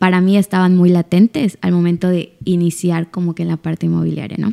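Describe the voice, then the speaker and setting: A woman talks at a fairly quick pace with a fairly low pitch and a dark, mellow tone. The sound is dry and close, with no echo. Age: 20s. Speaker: lawyer in real estate business. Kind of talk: casual interview chat.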